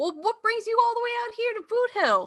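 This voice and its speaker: A woman puts on a squeaky character voice, pitched extremely high. She speaks at a fairly quick pace. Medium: actual play. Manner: hesitant, stammering.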